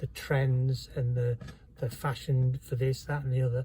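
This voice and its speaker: A man with an English accent speaks at a moderate pace in a fairly high pitch. His tone is dark and mellow, and somewhat breathy. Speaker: vlogger. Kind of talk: personal testimony. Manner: halting.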